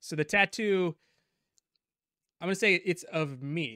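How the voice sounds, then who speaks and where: A man's bright, sharp tone with lively intonation at a fairly slow pace, in a dry sound with no echo over a quiet background. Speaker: comedy show co-host. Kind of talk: casual comedic chat. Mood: playful, laughing. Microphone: studio mic.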